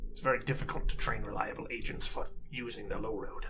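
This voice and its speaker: Putting on a character voice, a man speaks in a raspy tone at a moderate pace. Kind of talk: tabletop character voice. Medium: actual play. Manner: measured, fussy, precise.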